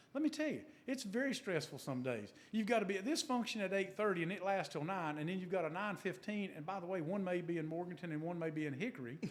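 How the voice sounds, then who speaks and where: A man with a North Carolina accent speaks at a very fast pace with hardly any pauses. His high pitch carries lively intonation. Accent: Southern US (North Carolina). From US South, western North Carolina (Burke County). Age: 60s. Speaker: car dealership executive. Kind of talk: interview. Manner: conversational.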